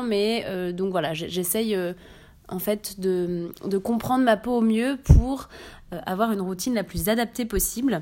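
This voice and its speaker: A woman's dark, mellow tone at a fairly high pitch. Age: 20s. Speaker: community manager presenting a beauty podcast. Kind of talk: product review monologue.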